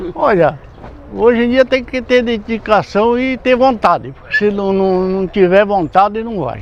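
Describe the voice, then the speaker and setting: A man speaks at a high pitch with ordinary variation. His pace is fairly slow. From Brazil, rural São Paulo coast region. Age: 70s. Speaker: banana farmer. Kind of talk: interview. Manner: halting.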